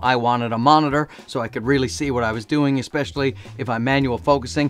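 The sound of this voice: Talking at a fast pace, a man keeps a medium pitch and fairly even intonation.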